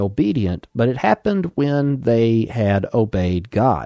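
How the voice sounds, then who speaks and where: A man with an Alabama accent speaks at a medium pitch with a dark, mellow tone and lively intonation, in a dry, close sound with no echo against a quiet background. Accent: Southern US (Alabama). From Alabama, US South. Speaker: pastor. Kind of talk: sermon, radio broadcast. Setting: radio broadcast. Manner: formal, measured.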